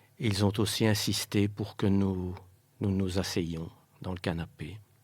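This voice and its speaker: A man talks in a fairly low-pitched voice at a very slow pace. His intonation stays fairly even. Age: 60s. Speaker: bereaved father. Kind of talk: testimony. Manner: halting.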